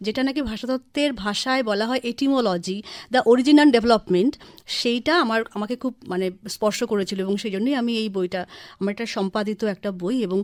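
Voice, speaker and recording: In a very clean recording with a silent background, a woman uses a normal speaking voice at a fairly high pitch with ordinary pitch variation. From West Bengal, Kalyani (Nadia). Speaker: writer and scholar. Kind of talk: radio interview.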